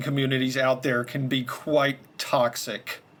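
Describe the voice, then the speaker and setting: A man with an unremarkable speaking voice talks at a fairly slow pace with a fairly high pitch. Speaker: podcast host. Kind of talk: interview host.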